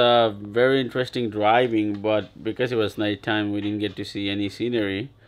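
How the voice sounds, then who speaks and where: The intonation stays fairly even. It is an ordinary speaking voice. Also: man. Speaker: family travel vlogger. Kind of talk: casual vlog chat. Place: home room. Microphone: phone near.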